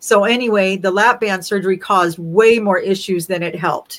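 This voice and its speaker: Using an ordinary speaking voice, a woman at a medium pitch talks at a moderate pace with ordinary pitch variation. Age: 60s. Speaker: interview guest sharing weight-loss story. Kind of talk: casual interview, personal testimony.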